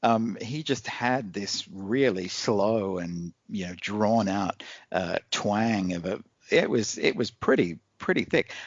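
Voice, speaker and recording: Very slowly, a man with an American accent speaks at a fairly low pitch, his pitch varying in an ordinary way. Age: 40s. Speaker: podcast guest, new regular. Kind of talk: casual chat. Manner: halting, many repeats.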